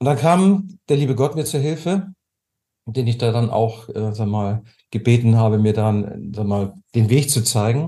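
A man speaks at a medium pitch and moderate pace, somewhat breathy. His tone is dark and mellow, with ordinary pitch variation. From Germany. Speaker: tapping therapy coach. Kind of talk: interview.

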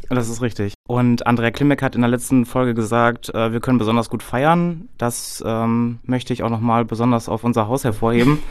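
Hardly pausing, a man with a normal speaking voice talks at a medium pitch with fairly even intonation. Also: moderate pace. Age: 30s. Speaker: care home manager and podcast host. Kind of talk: casual chat.

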